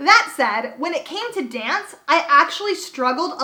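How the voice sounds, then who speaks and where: A woman's animated, raised and projected voice with lively intonation, over noticeable background noise. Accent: American. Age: 20s. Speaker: YouTuber. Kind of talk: storytime vlog.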